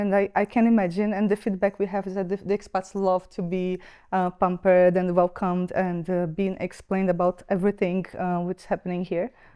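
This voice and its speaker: A woman speaks in a Brazilian accent with a medium pitch and a dark, mellow tone. Her intonation is monotone and flat, and the sound is dry, close and very clean, with no echo and a silent background. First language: Brazilian Portuguese. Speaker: expat centre staff member. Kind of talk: podcast interview. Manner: hesitant, many fillers.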